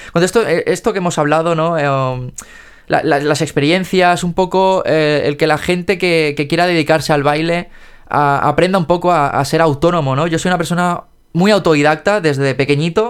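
With fairly even intonation and very even loudness, a man speaks at a moderate pace in a high-pitched voice. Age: 20s. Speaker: podcast host and dance teacher. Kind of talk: casual interview. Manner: hesitant, many fillers.

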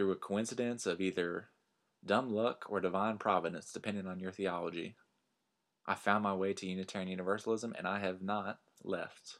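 On a very clean recording with a silent background, a man speaks in a fairly low, flat monotone with a Texan accent. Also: fairly quick pace. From Texas Panhandle. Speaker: minister and podcast host. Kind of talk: personal storytelling monologue.

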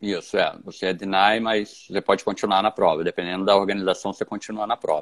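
A man's very fast, fairly low-pitched, monotone, flat delivery with hardly any pauses. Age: 40s. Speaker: ultramarathon runner. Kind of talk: interview.

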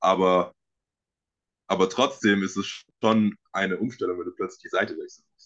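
Against a quiet background, a man speaks at a moderate pace with long, frequent pauses. His loudness swings widely. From Germany, Dresden (Saxony). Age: 20s. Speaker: American football player. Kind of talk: casual interview.

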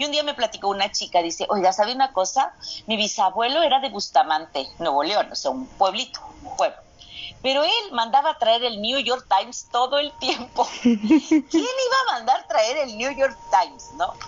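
A woman speaks at a moderate pace with high pitch and very wide pitch swings. Noticeable background noise runs underneath. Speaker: astrogenealogy specialist and physician. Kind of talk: interview conversation. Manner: halting, repeats words.

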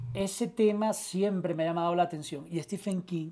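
Speaking at a moderate pace, a man with a Venezuelan accent uses a high pitch on a very clean recording with a silent background. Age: 40s. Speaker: journalist and producer. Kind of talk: casual chat.

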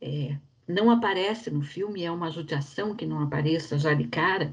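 This woman's voice sits fairly low and comes out somewhat breathy. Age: 60s. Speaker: bank employee, film club member. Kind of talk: casual chat.

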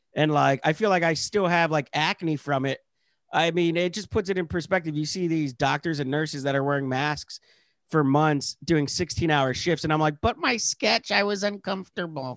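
A man with a normal speaking voice and an American accent, ordinary pitch variation, a moderate pace and a dry, close sound with no echo. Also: fairly high pitch for a man. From rural Pennsylvania. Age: 30s. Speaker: comedian. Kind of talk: casual chat. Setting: video call.

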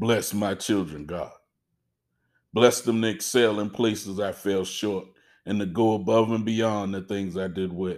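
In an ordinary speaking voice, a man talks at a fairly low pitch and fairly slow pace with fairly even intonation, on a very clean recording with a silent background. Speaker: father praying. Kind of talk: fervent prayer, spoken aloud to God as a humble, heartfelt plea. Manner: earnest, pleading, tender.

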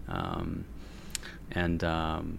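On a very clean recording with a silent background, a man speaks in a bright, sharp tone. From Korea, immigrated to the US. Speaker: podcast host and pastor. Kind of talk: casual interview conversation.

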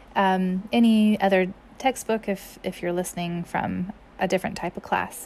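Fairly slow and fairly even in intonation, a woman speaks. Her pitch is medium. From US South, Mississippi. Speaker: German language teacher. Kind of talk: language tutorial. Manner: halting, with frequent fillers.

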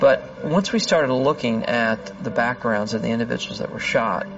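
A man speaks at a moderate speed. Noticeable background noise accompanies him. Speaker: FBI agent. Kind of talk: interview recounting.

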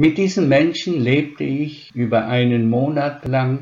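Very slow and somewhat breathy, a man speaks with ordinary pitch variation. His pitch is medium. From Slovakia (Spiš German community), raised from 1946 in Upper Franconia. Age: 80s+. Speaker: retired professor of special education. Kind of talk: interview answers, read-out prepared text. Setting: online interview. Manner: formal.

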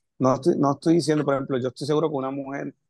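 This man has a normal speaking voice, medium in pitch with fairly even intonation, recorded with a dry, close sound and no echo. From Puerto Rico, Camuy. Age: 30s. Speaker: history teacher. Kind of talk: casual discussion.

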